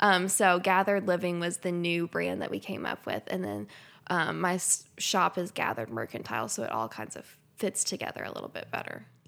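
A woman with an American accent speaks at a fairly quick pace in a fairly low pitch with vocal fry. Her pitch swings very widely, and the recording is very clean with a silent background. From Lexington, Kentucky. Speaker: entrepreneur. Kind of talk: casual interview.

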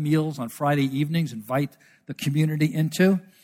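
A man with an American accent and an ordinary speaking voice talks at a fairly quick pace, his pitch fairly high and his intonation fairly even. The recording is very clean, with a silent background. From New York City, Brooklyn. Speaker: missionary researcher. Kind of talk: church presentation.

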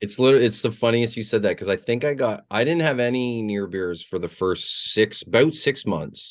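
Over a quiet background, a man with an ordinary speaking voice talks at a moderate pace in a medium pitch with ordinary pitch variation. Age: 40s. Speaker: musician. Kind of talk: casual chat. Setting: studio.

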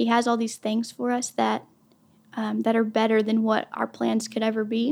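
A woman's fairly high voice with an American accent, at a moderate pace and with fairly even intonation. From Oklahoma. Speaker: church administrative assistant, Bible teacher. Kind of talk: devotional Bible teaching. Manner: casual, many fillers.

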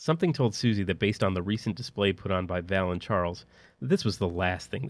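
This is a natural reading voice. Nothing else stands out.

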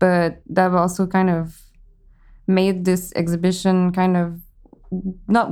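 A woman at a medium pitch speaks with a dark, mellow tone and fairly even intonation in a very clean recording with a silent background. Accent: French Canadian. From Quebec. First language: French. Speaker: sculptor and cabinet maker. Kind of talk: casual interview chat.

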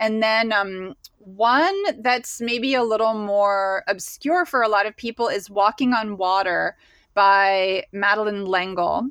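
A woman with an American accent has an unremarkable speaking voice at medium pitch, with ordinary pitch variation and a quiet background. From Pennsylvania, US. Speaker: painter and creative guide. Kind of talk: casual interview chat.

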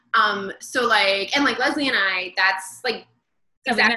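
In an American accent, a woman speaks at a fairly slow pace with a bright, sharp tone and ordinary pitch variation. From United States. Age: 30s. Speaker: bookshop event host. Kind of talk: casual interview chat. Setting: video call.

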